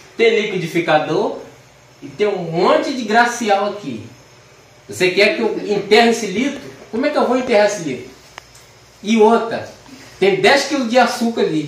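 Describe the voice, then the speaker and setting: With audible room echo around him, a high-pitched man speaks with long, frequent pauses. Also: moderate pace. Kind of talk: casual joking talk. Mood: playful, joking, animated. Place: kitchen.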